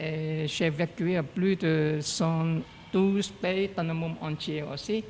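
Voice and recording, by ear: Speaking slowly with a strong non-native accent, a man uses a fairly high pitch, fairly even intonation and a slightly mellow tone. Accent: heavy foreign accent in French.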